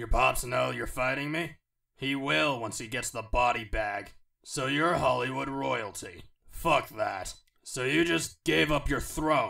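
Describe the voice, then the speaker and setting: A raspy, put-on character voice delivers the lines at a fairly slow pace. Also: man, medium pitch for a man. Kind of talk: video game character voice.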